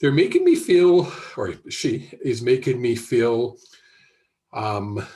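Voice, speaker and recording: A man speaks at a very slow pace with long, frequent pauses. His tone is dark and mellow, and somewhat breathy. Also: medium pitch for a man, lively intonation. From Canada, Alberta (Airdrie). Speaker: psychic medium. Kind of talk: live intuitive reading. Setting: live video stream. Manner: halting, many filler ums and restarts.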